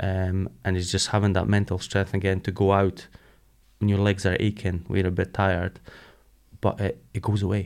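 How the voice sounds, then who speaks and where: A man with a Scottish accent speaks at a moderate pace and a fairly low pitch. His intonation is flat and monotone. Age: 40s. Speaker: ultramarathon runner. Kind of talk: interview.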